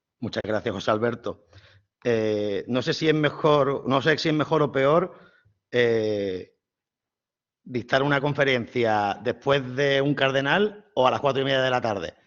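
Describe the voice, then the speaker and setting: In an Andalusian accent, a man talks at a fairly slow pace and medium pitch, with ordinary pitch variation. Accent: southern Spanish (Andalusian). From southern Spain, Málaga (Andalusia). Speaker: priest and theology professor. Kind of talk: lecture.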